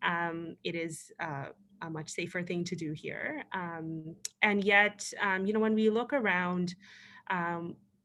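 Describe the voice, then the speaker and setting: A woman with a Pakistani accent, a fairly low pitch and a bright, sharp tone, at a very slow pace with ordinary pitch variation, in a very clean recording with a silent background. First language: Urdu. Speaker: panelist, former political candidate. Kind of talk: panel discussion. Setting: virtual event. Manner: hesitant, many fillers.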